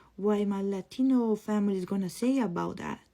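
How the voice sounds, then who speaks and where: Here a woman with a strong Spanish accent talks at a moderate pace. Her voice is medium in pitch, with a dark, mellow tone. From Costa Rica. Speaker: content creator. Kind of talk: personal testimony. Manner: casual, conversational.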